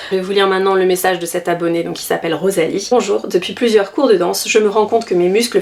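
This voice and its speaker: A woman speaks at a very fast pace with a medium-pitched voice. Noticeable background noise runs underneath. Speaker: dance vlogger, amateur ballet dancer. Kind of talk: casual vlog tutorial. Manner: hesitant, many fillers.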